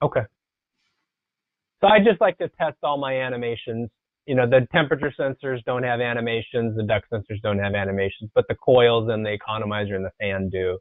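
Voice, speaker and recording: With an ordinary speaking voice, a man talks at a fairly quick pace, medium in pitch and with ordinary pitch variation. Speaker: software trainer. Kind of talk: tutorial.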